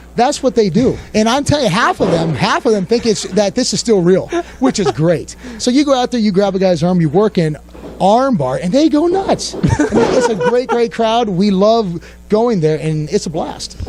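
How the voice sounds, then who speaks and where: Noticeable background noise sits behind a man with a high voice. His intonation is lively and his pace moderate. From US Northeast (Pennsylvania). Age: 30s. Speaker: pro wrestler. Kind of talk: interview. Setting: sit-down interview.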